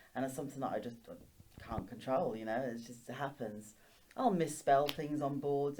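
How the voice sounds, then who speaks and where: There is audible room echo as a woman speaks with a dark, mellow tone and a very deep, low pitch. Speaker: teacher. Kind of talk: interview. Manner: stutters.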